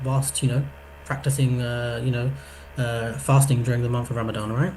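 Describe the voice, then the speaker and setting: There is audible room echo and noticeable background noise as a man speaks at a fairly quick pace with fairly even intonation. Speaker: psychology workshop presenter. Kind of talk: online workshop talk. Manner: fast.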